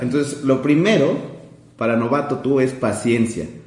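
This man's fairly even intonation and moderate pace come through audible room echo and noticeable background noise. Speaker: podcast co-host. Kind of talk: casual chat.

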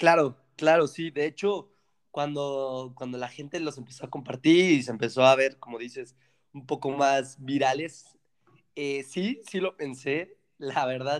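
A man speaks with a Mexican accent at a fairly high pitch. His intonation stays fairly even. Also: fairly slow pace. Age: 20s. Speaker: engineering student. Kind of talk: casual chat.

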